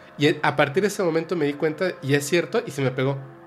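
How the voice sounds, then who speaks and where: Over music in the background, a man talks at a very fast pace with a fairly high pitch. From Yucatán, Mexico. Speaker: paranormal podcast host. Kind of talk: casual chat.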